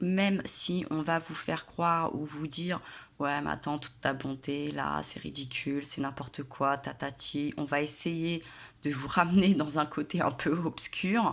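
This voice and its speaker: A woman talks at a fairly slow pace with a very deep, low pitch. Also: fairly even intonation. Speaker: tarot reader. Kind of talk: tarot reading monologue. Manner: soft-spoken; hesitant with many fillers.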